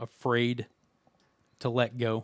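In an American accent, a man talks at a medium pitch. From West Virginia. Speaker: podcast host and sports play-by-play announcer. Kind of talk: casual interview. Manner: hesitant, many fillers.

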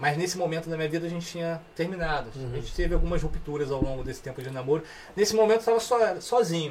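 Over noticeable background noise, a man with a high pitch speaks at a very fast pace with lively intonation. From Petrópolis, Rio de Janeiro state, Brazil. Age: 40s. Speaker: musician. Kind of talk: casual chat.

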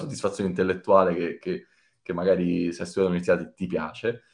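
In a quiet background, a man's voice shows ordinary pitch variation. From Italy, Rome. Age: 30s. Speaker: data team manager. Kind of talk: interview. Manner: halting, many fillers.

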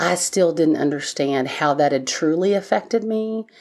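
Moderate pace with ordinary pitch variation. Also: woman. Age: 40s. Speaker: addiction family member sharing story. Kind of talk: interview testimony.

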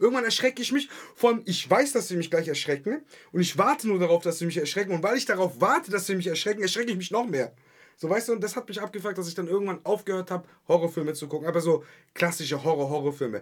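Talking at a very fast pace, a man uses a high pitch and lively intonation. His tone is animated. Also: very clean recording, silent background. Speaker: podcast co-host / film fan. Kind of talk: casual chat.

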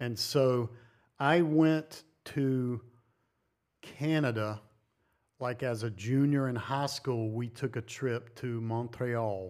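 On a very clean recording with a silent background, a man speaks with an American accent at medium pitch, fairly even intonation and a very slow pace, leaving long, frequent pauses. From US South, North Carolina. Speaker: greenhouse builder. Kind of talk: casual chat. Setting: in person.

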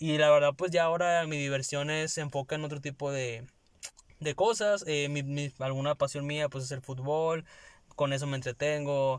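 At a moderate pace, a man with a normal speaking voice talks in a fairly high pitch with fairly even intonation. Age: 20s. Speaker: podcast co-host, communication student. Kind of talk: casual chat.

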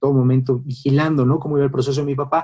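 The man's medium-pitched voice has a dark, mellow tone and is somewhat breathy. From Mexico City. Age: 30s. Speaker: lawyer, son of a late sports legend. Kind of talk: interview.

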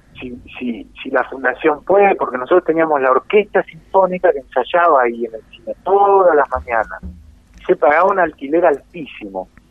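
A man with a Rioplatense accent, fairly high pitch, lively intonation, and moderate pace. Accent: Argentine Spanish (rioplatense). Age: 50s. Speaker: musician, saxophonist. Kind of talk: radio interview.

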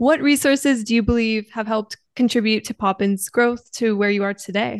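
Against a quiet background with a dry, close sound and no echo, a woman in a plain, everyday voice speaks at a fairly quick pace with a fairly high pitch and fairly even intonation. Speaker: podcast host, student. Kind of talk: interview.

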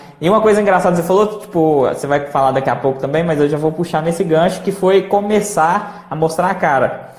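A man's high-pitched voice at a fairly quick pace, ordinary pitch variation, noticeable background noise. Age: 20s. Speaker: channel host, entrepreneur. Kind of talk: casual chat on a live stream. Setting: Instagram live.

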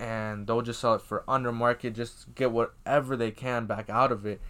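Recorded very cleanly over a silent background, a man with a plain, everyday voice speaks at medium pitch and a fairly quick pace with fairly even intonation. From Iowa. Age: young. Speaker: podcast host, sneaker reseller. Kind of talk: casual chat.

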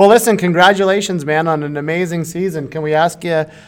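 A man with a normal speaking voice talks at a fairly quick pace with a fairly high pitch. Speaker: fantasy hockey podcast co-host. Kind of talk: casual chat.

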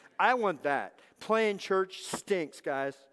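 A man with an American accent talks in an animated tone with lively intonation. The recording is very clean, with a silent background. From Southern California. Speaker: pastor. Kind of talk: sermon. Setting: church.

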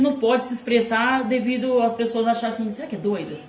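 A woman talks very fast in a room with audible echo. Noticeable background noise runs underneath. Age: 40s. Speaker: interviewee, host's mother. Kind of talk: casual chat. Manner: halting.

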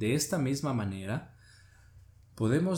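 Somewhat breathy, a man speaks at a medium pitch with lively intonation. His pace is fairly slow. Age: 20s. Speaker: podcast host. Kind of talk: educational talk.

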